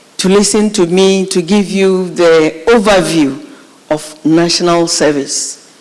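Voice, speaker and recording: Set against noticeable background noise, a woman's medium-pitched voice keeps fairly even intonation. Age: 50s. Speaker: national service official. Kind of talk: speech to students.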